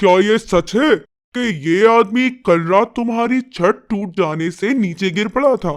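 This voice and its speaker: High-pitched put-on character voice from a man, moderate in pace. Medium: read story. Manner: imperious, blustering.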